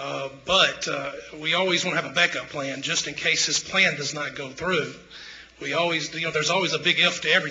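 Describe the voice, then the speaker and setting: A man with a Mississippi accent talks at a fairly quick pace in a fairly high voice, his intonation fairly even, with audible room echo and noticeable background noise. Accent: Mississippi Southern US. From Tupelo, Mississippi. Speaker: local business owner speaking at council. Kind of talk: public comment at city council. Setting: city council meeting. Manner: halting, many fillers.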